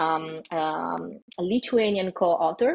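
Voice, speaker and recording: Here a woman speaks at a fairly low pitch. Her pitch variation is ordinary. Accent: Italian. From Italy. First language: Italian. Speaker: AI ethicist. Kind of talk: podcast interview. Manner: hesitant, many fillers.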